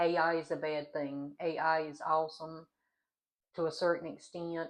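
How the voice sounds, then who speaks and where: A woman's fairly low-pitched voice, bright and sharp in tone, with a Southern US accent, over a quiet background. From US South. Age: 40s. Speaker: vlogger, adult college student. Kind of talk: casual vlog talk.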